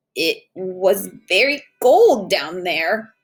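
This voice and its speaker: A woman puts on a raspy character voice at a medium pitch. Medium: read story. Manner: timid, gentle.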